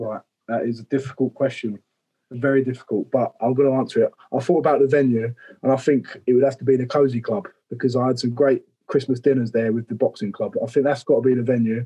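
Very fast and fairly even in intonation, a man of medium pitch speaks in a somewhat breathy, dark, mellow tone, with a dry, close sound and no echo. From Romford, Essex, England. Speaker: professional boxer. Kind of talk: casual chat.

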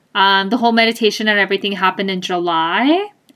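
A woman's voice at medium pitch. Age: 30s. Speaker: podcast host, accountant. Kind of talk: casual monologue. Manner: hesitant, laughs often.

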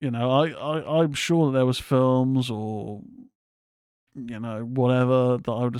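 With a normal speaking voice, a man talks at a moderate pace and medium pitch, keeping his intonation fairly even. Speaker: horror podcast host. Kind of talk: casual solo commentary. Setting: live stream.

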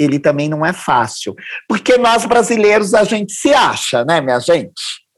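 His pitch swings very widely as the man speaks. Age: 50s. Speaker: anthropology professor and diversity consultant. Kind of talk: podcast interview.

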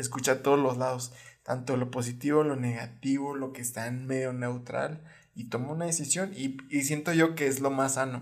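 Audible room echo surrounds a man with a Mexican accent and medium pitch. He speaks at a moderate pace with fairly even intonation. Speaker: podcast co-host. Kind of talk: casual chat.

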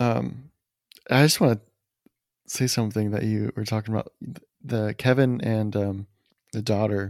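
A man's fairly low voice at a moderate pace, with fairly even intonation, long and frequent pauses, and a dry, close sound with no echo. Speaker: movie podcast host. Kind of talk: casual chat. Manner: halting.

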